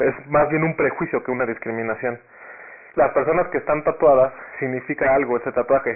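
With an ordinary speaking voice, a man talks at a fairly quick pace in a fairly high pitch with fairly even intonation. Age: 20s. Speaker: law graduate. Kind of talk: debate-style interview.

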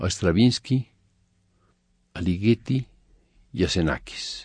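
Very slowly and with lively intonation, a man speaks in a dark, mellow tone, the sound dry and close with no echo against a quiet background. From Mexico. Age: 70s. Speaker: composer. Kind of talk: interview monologue.

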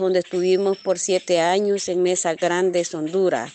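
Monotone, flat intonation runs through a woman's medium-pitched voice. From El Salvador, Cabañas department. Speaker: former guerrilla radio operator. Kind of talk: testimony.

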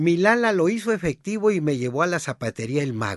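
Over a quiet background, in a dry, close sound with no echo, a man speaks with fairly high pitch and very wide pitch swings. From Sinaloa, Mexico (rural northwest). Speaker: memoir author and narrator. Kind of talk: scripted narration.

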